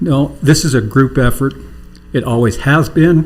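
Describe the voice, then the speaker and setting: The man's pitch sits in the medium range and his intonation is fairly even. His voice carries vocal fry. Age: 60s. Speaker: city council member. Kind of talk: council meeting remarks.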